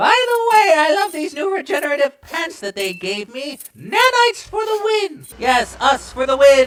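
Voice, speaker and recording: A cartoonish character voice, high in pitch and swinging very widely, runs at a moderate pace with hardly any pauses. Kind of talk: comic overacting. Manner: chatty, jokey.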